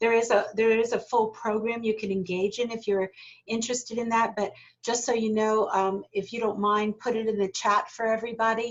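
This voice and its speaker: A woman with an American accent speaks at a fairly high pitch. Her delivery is fairly quick, in a monotone, flat intonation. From United States. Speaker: corporate learning specialist, leadership trainer. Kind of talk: online workshop Q&A.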